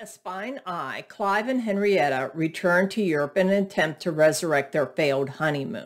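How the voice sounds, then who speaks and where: A woman speaks at a moderate pace with lively intonation. The background is quiet. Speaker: book reviewer. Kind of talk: reading a book synopsis. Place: home room. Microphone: webcam.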